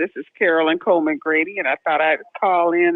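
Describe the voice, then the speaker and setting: A woman speaks with fairly low pitch and ordinary pitch variation. It is an unremarkable speaking voice. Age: 60s. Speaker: caller, aspiring author. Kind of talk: casual chat. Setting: phone call-in to live stream.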